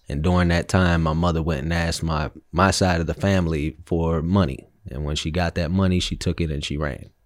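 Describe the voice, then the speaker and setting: A man with a very deep, low voice, fairly even intonation and a fairly quick pace, in a very clean recording with a silent background. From Chicago and Philadelphia, US. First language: Spanish. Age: 30s. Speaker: guest sharing life story. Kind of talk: casual interview conversation.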